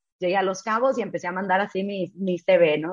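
A woman speaking at a moderate pace. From Mexico (Tijuana, Baja California). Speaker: travel blogger and former hotel worker. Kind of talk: interview storytelling.

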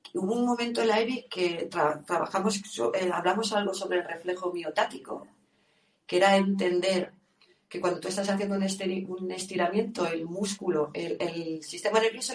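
A woman with a medium pitch and a plain, everyday voice speaks at a moderate pace with ordinary pitch variation. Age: 50s. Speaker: yoga teacher. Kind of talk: interview.

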